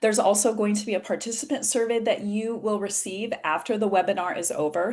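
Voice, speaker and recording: Someone speaks with an American accent in a normal speaking voice. The pace is fairly quick. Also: woman. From USA. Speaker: patient advocacy organization president, webinar moderator. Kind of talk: webinar moderation. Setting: video call.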